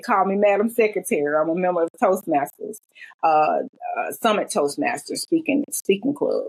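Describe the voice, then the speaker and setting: Using very wide pitch swings, a woman talks at a moderate pace with a Southern accent. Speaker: self-published author. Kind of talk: interview conversation.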